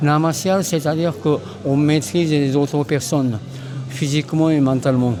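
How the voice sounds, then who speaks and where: A man talks fairly slowly as music plays in the background. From Japan, Tokyo. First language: Japanese (speaking French). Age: 70s. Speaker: aikido master. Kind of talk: interview. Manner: halting, many hesitations.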